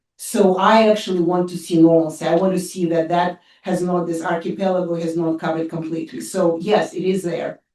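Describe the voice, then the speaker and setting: A woman with a Russian accent talks at a fairly quick pace in a dark, mellow tone. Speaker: professor of international affairs. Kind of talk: audience Q&A answer at a seminar. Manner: halting, many fillers and restarts.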